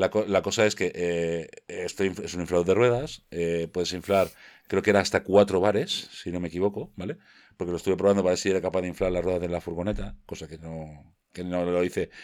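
A man with a very deep, low pitch at a fairly quick pace, on a very clean recording with a silent background. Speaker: tech podcast co-host. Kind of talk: casual chat.

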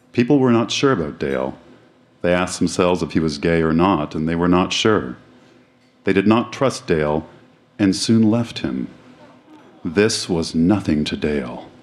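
A man with a very deep, low voice talks at a moderate pace with lively intonation and long, frequent pauses. Noticeable background noise is present. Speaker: live reader of old school essay. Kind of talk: spoken word, reading aloud then reflective chat. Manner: halting, reflective, slightly hesitant.

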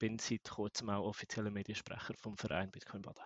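A man's fairly low, monotone voice with flat intonation and a Swiss accent, at a moderate pace. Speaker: bitcoin community organizer. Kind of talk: casual panel discussion.

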